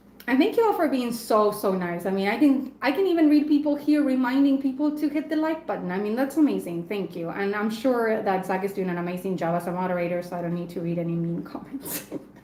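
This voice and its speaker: Talking at a very fast pace with hardly any pauses, a woman with a Spanish accent and a fairly high pitch makes very wide pitch swings, with audible room echo and noticeable background noise. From Argentina. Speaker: knife reviewer and live stream host. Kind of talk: casual live stream chat. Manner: chatty, with frequent fillers and repeats.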